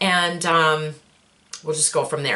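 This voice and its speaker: A woman speaks at a fairly slow pace as noticeable background noise carries on. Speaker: lifestyle vlogger and small business owner. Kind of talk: casual vlog update. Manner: digressive, chatty with fillers.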